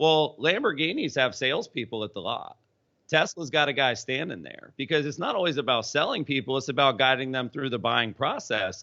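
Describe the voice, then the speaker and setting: With a Southern US accent, a man speaks at a fairly high pitch using lively intonation. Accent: Southern drawl. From US South, Polk County, central Florida. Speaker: entrepreneur and sales expert. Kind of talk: interview.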